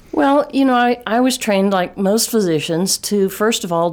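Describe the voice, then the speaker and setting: This is a woman speaking. She has a Texas accent. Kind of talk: interview about health.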